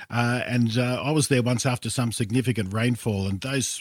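A man speaks with an Australian accent in a somewhat breathy voice. The recording is very clean, with a silent background. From Sydney western suburbs, Australia. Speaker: travel expert. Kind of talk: casual interview. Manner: hesitant, repeats words.

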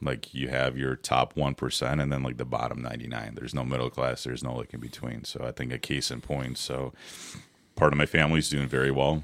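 A man with an American accent talks in a very deep, low voice at a fairly quick pace. His intonation is monotone and flat, and there is noticeable background noise. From Ukraine (Odessa), raised from age 10 in Ohio. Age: 40s. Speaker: podcast guest. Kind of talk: casual chat. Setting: studio.

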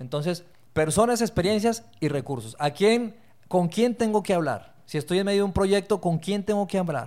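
A man talks at a moderate speed. His voice is high and his intonation lively. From Colombia (Bogotá), born in Torreón, Mexico. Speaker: leadership foundation executive. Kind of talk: interview conversation.

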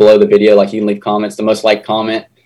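Speaking with an Appalachian accent, a man talks in a fairly low voice. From southern West Virginia. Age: 20s. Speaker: fishing YouTuber. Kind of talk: casual interview. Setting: video call.

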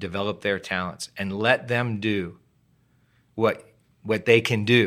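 Fairly low in pitch, a man speaks at a fairly slow pace with fairly even intonation and long, frequent pauses, captured on a very clean recording with a silent background. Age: 60s. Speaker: pastor. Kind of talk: casual interview.

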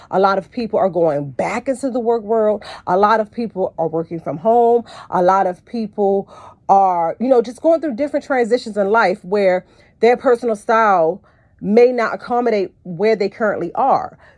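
Against a quiet background, a woman speaks in a normal speaking voice at a fairly high pitch. Her pace is moderate and her pitch variation ordinary. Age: 40s. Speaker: podcast host and personal stylist. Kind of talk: solo podcast monologue.

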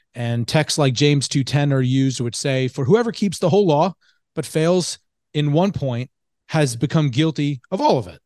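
A man's fairly high, normal speaking voice at a moderate pace, with ordinary pitch variation and a quiet background. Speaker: podcast host. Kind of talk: theological discussion.

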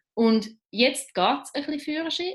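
Against a quiet background, a woman speaks fairly slowly, her pitch swinging very widely. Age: 30s. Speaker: LGBT activist and journalist. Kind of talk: interview.

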